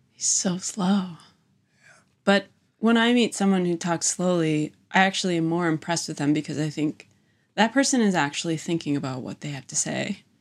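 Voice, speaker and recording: Recorded very cleanly against a silent background, a woman with a Midwestern American accent talks in a fairly low voice. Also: moderate pace. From US Midwest (Wisconsin). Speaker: visual artist running an artist residency. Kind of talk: casual chat. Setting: in person, same room as host.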